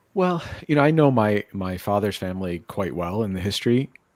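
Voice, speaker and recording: An unremarkable speaking voice, male and medium-pitched, at a moderate pace. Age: 40s. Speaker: guest sharing life story. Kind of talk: casual chat.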